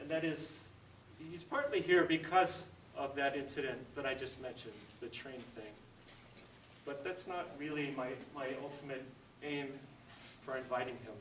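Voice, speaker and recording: A man's fairly high voice at a moderate pace, with ordinary pitch variation, big swings in loudness, and long, frequent pauses, against noticeable background noise and audible room echo. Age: 50s. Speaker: event organizer introducing speaker. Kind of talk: introductory speech. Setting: church dining hall with audience.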